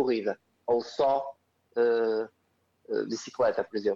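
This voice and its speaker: A man with a European Portuguese accent speaks at a fairly slow pace with lively intonation. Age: 30s. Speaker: CrossFit coach. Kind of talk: podcast interview.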